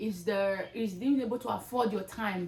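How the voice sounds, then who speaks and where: Her pitch is fairly high for a woman, with ordinary pitch variation. Noticeable background noise accompanies her voice. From Nigeria. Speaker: content creator. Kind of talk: motivational talk. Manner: loud; animated.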